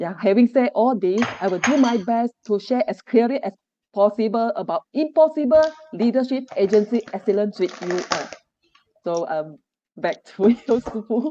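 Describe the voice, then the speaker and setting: In a dry, close recording with no echo, a woman with a fairly high pitch speaks at a moderate pace with lively intonation. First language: Chinese. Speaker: agency manager. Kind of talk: forum talk. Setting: online forum on screen. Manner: halting.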